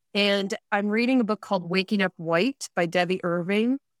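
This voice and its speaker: An unremarkable speaking voice, a woman with medium pitch and lively intonation talks at a moderate pace in a very clean recording with a silent background and a dry, close sound with no echo. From upstate New York, Rochester area. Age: 50s. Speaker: author and podcaster. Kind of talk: casual interview.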